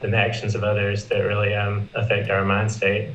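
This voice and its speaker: A man's fairly low, somewhat breathy voice with a Southern US accent. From US South. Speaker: Buddhist student. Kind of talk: personal sharing. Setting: video call.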